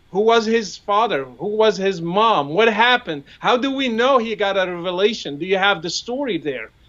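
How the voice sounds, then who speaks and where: Speaking at a moderate pace with hardly any pauses, this man has a high voice, an Arabic accent and lively intonation. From Morocco. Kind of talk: casual debate-style discussion.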